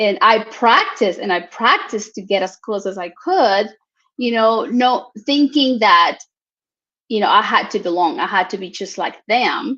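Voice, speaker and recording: A woman with a fairly high pitch, a bright, sharp tone, lively intonation and a Mexican accent, over a quiet background. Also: moderate pace. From Mexico. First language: Spanish. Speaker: talk show host. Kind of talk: interview.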